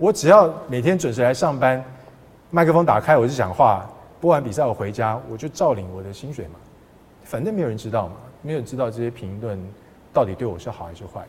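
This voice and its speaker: A man's somewhat breathy voice at a medium pitch, with very wide pitch swings, big swings in loudness, a fairly quick pace and long, frequent pauses. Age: 50s. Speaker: sports broadcaster. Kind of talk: casual interview.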